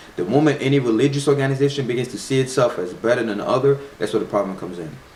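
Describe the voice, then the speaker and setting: Amid noticeable background noise, a man of medium pitch talks in an animated tone at a very fast pace with ordinary pitch variation. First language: not English. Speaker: spirituality vlogger. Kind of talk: casual video monologue. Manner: halting with repetitions.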